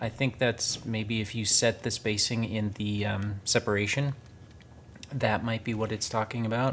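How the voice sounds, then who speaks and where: With an American accent, a man speaks at a moderate pace in a medium pitch. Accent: very American, kind of Midwestern. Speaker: gaming YouTuber. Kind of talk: gameplay commentary. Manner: enunciates carefully for voice recognition.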